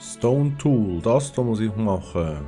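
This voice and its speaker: Music plays in the background as a man talks in a medium pitch. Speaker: gaming streamer. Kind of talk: casual let's play commentary.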